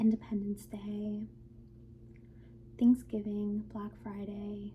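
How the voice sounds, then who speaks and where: Soft-spoken and gentle in tone, a woman speaks very slowly at a fairly high pitch. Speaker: ASMR creator. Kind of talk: ASMR roleplay as an HR manager giving a new-hire orientation. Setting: quiet close-mic recording with typing and mouse clicking sounds. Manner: soft-spoken, gentle.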